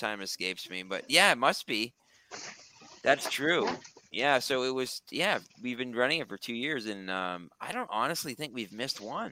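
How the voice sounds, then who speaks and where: A man talks at a moderate pace and medium pitch. His tone is bright and sharp, with lively intonation. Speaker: recovery coach. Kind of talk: casual chat. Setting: video call. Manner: halting.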